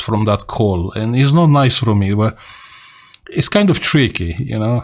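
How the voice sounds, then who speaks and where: This is a man speaking with a Romanian accent. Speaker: radio amateur. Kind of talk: casual vlog talk. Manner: halting.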